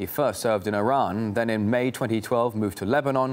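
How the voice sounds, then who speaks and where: A man talks at a fairly quick pace in a normal speaking voice. His pitch is medium and varies in an ordinary way. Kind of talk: TV news report. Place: studio.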